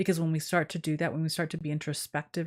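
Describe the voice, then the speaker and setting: Her voice sits very deep and low. The intonation stays fairly even. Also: dry, close sound with no echo, very clean recording, silent background. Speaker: witch and oracle reader, live stream host. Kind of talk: live stream chat answering viewer questions. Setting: live video stream. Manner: loud.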